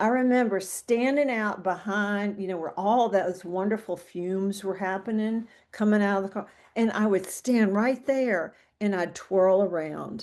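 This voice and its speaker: A woman with an unremarkable speaking voice, medium pitch, ordinary pitch variation and a fairly slow pace, against a quiet background. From US South (central Mississippi). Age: 60s. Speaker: guest sharing recovery story. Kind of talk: casual interview chat.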